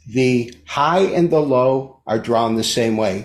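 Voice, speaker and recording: Very slowly, a man with an American accent talks at medium pitch with ordinary pitch variation. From US Midwest, Detroit. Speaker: market analyst. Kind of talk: interview explanation.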